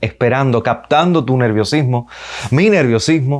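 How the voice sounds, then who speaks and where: This man has a medium pitch and ordinary pitch variation. He has an unremarkable speaking voice. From Cuba. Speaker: radio and television announcer. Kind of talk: public speaking lesson to camera.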